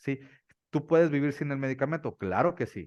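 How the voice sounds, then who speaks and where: Talking very fast over a quiet background, a man sounds dry and close with no echo. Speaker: doctor specializing in ADHD. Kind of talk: interview on ADHD treatment.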